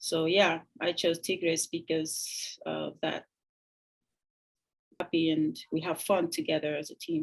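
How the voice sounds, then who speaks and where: A woman talks in a fairly low pitch with monotone, flat intonation. She goes at a fairly slow pace and leaves long, frequent pauses. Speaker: professional footballer. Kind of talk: interview. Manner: hesitant, many fillers.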